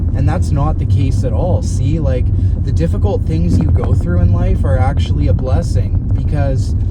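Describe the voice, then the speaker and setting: Through audible room echo and noticeable background noise, a man with a very deep, low voice speaks at a moderate pace with lively intonation and very even loudness. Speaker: fitness coach. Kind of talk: casual vlog monologue. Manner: conversational, rambling pace.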